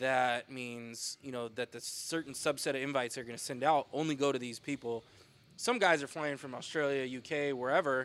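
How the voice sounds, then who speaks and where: Over a silent background in a very clean recording, a man speaks in an unremarkable speaking voice. His medium pitch stays fairly even at a moderate pace, though his loudness swings widely. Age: 30s. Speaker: podcast co-host, strength athlete. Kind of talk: casual chat.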